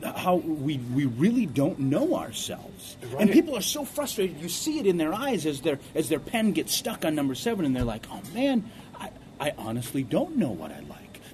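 An animated man speaks at a fairly high pitch with very wide pitch swings. His loudness swings widely over noticeable background noise. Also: moderate pace. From born in South Korea, raised in US Midwest. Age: 30s. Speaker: motivational speaker and singer. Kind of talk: interview. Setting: radio studio. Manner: animated, many repetitions.

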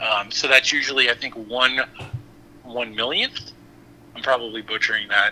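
A man's medium-pitched, monotone, flat voice at a moderate pace, with noticeable background noise. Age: 40s. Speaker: bitcoin mining executive. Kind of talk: interview.

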